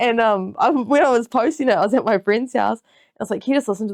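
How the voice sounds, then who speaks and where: A woman with a New Zealand accent against a quiet background. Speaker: podcast host. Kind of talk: casual chat.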